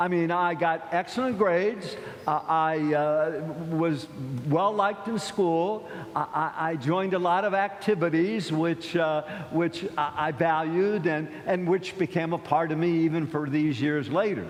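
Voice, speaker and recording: A man's high-pitched voice with an American accent, fairly slow and very even in loudness, with ordinary pitch variation and audible room echo. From US Midwest, Akron, Ohio. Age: 70s. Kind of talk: sermon. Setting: church. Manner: conversational, halting with repetitions.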